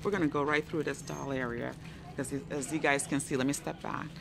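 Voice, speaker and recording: Noticeable background noise is present throughout. The speaker's intonation is fairly even. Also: woman. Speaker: thrift shopper vlogger. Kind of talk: casual vlog chat. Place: shop. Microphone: phone near.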